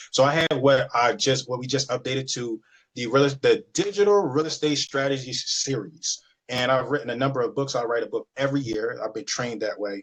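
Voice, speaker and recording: In an American accent, a man speaks fairly quickly with a somewhat breathy, fairly high voice. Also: ordinary pitch variation. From Philadelphia, Pennsylvania (South Philly). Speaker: real estate agent and business owner. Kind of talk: webinar presentation. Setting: video call. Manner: fast.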